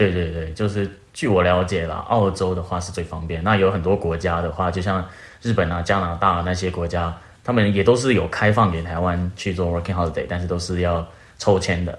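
Very deep and low, a man's voice moves at a fairly quick pace in a monotone, flat intonation, with audible room echo. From Taiwan. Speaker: working holiday traveller. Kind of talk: casual chat.

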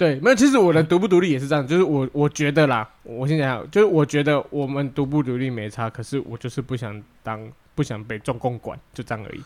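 A man with an unremarkable speaking voice, fairly high pitch, ordinary pitch variation, big swings in loudness and a fairly quick pace. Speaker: podcast co-host. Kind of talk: casual chat.

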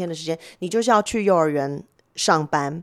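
A woman talks at a fairly quick pace in an ordinary speaking voice. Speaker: marketing executive. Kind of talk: interview.

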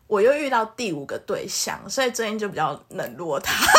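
Against noticeable background noise, a woman talks at a moderate pace. Her pitch is fairly high. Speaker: podcast co-host. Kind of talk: casual chat.

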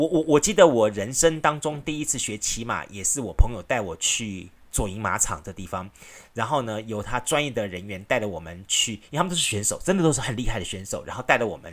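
A man at a fairly quick pace, with very wide pitch swings and big swings in loudness, in a very clean recording over a silent background. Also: medium pitch for a man. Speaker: radio host. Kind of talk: solo radio talk. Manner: casual, chatty with frequent fillers.

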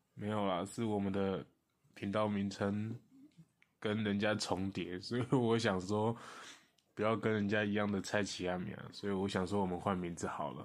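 A man with a normal speaking voice talks at a moderate pace and a fairly low pitch. His intonation is fairly even, on a very clean recording with a silent background. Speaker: podcast co-host. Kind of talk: casual chat.

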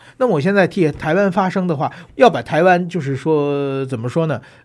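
A man in a northern Chinese accent talks at a fairly quick pace with a fairly high pitch and lively intonation. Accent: northern Mandarin. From China (Tianjin). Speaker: journalist and political commentator. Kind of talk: interview.

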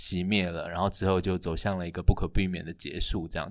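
On a very clean recording with a silent background, a man with a very deep, low pitch speaks at a fairly quick pace. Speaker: playwright and university lecturer. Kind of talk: casual chat.

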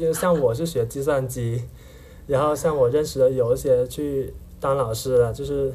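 A man with a Hakka accent and a fairly high voice talks at a fairly slow pace, somewhat breathy. His intonation is fairly even. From Heyuan, Guangdong, China. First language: Hakka (speaking Chinese). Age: 20s. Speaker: university student. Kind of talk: casual interview chat.

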